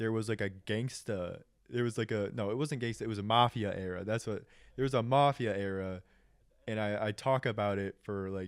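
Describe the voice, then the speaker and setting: This man's intonation stays fairly even. The audio is very clean, and the background is silent. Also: fairly low pitch for a man. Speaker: YouTube commentary creator. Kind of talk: casual commentary monologue. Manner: halting, many fillers and repeats.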